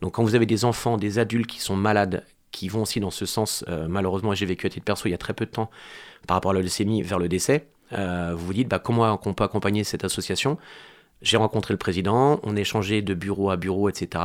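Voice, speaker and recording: A man with a normal speaking voice talks at a fairly low pitch and a fairly quick pace. His intonation stays fairly even, and the recording is very clean with a silent background. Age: 40s. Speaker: amateur football club president. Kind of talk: interview.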